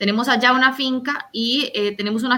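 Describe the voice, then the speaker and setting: A woman speaks in an unremarkable speaking voice. Her intonation is fairly even. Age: 20s. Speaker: political candidate and veterinarian. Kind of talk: interview.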